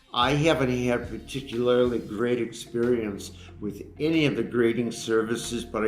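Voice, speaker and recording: A man at a fairly slow pace with fairly even intonation, amid audible room echo. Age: 70s. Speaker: retired coin dealer. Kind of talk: casual interview.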